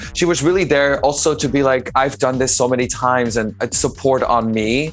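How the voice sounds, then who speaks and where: A man's medium-pitched voice at a fairly quick pace, with ordinary pitch variation, very even loudness and music in the background. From Netherlands. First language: Dutch. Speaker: drag performer. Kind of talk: casual interview. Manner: animated.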